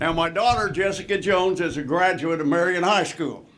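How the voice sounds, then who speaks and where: A high-pitched man at a moderate pace, with audible room echo and noticeable background noise. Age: 80s+. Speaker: retired basketball coach. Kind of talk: acceptance speech.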